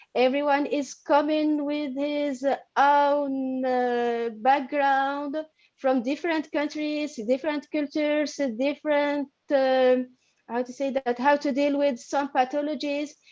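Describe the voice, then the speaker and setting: Her pitch high, a woman speaks at a very slow pace with monotone, flat intonation. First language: not English (studied in French). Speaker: paediatrician and course student. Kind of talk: interview. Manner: halting.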